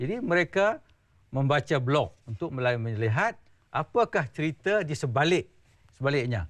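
Over a quiet background, a man with a fairly high pitch and very wide pitch swings speaks at a fairly slow pace. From Malaysia. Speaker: veteran journalist and blogger; guest. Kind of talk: TV talk show interview. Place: studio. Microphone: lapel.

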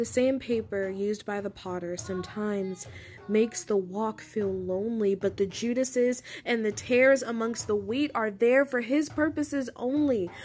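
Over music in the background, a woman speaks at a moderate pace with a fairly high pitch and ordinary pitch variation. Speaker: poet. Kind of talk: spoken word poetry reading.

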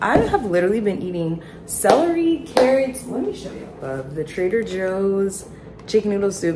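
Noticeable background noise runs behind a woman as she speaks. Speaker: vlogger. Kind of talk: casual vlog chat. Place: kitchen. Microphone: phone near.

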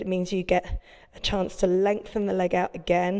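A woman over a quiet background. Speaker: yoga instructor. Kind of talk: workout instruction. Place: gym. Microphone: lapel.

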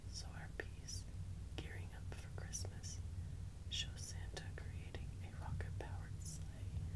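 A woman speaks at a fairly slow pace. Loud background noise fills the recording. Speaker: ASMR creator. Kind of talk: whispered reading aloud, ASMR magazine reading. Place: home room.

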